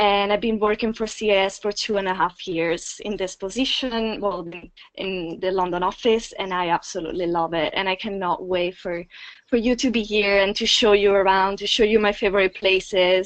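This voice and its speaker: A woman with an Italian accent speaks at a moderate pace with a medium pitch and fairly even intonation. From Italy. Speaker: study abroad site director. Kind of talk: informational webinar. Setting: webinar.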